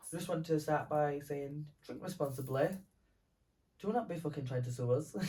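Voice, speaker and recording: With a Scottish accent, a man speaks at a moderate pace in a somewhat breathy, dark, mellow voice, fairly high in pitch with ordinary pitch variation and long, frequent pauses. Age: 20s. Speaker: podcast co-host. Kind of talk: casual chat. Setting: at home, sleepover. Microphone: poor audio, mic recording not saved.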